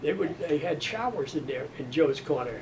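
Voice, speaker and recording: Over noticeable background noise, a man with an American accent speaks fairly slowly at a fairly high pitch. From US South, Mississippi. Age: 90s. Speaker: retired steel mill worker. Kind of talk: oral history interview. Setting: museum interview room. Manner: halting.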